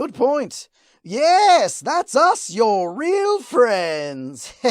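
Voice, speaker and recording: This put-on character voice has a fairly high pitch and a very slow pace. The recording is very clean, with a silent background. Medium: solo performance. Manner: mocking, playful menace.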